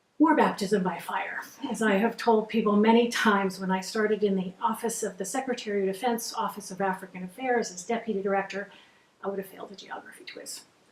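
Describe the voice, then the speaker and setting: A woman talks at a very fast pace and a medium pitch, with an intense tone and fairly even intonation. Her loudness swings widely, and there is noticeable background noise. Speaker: former defense official and women's advocate. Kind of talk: interview.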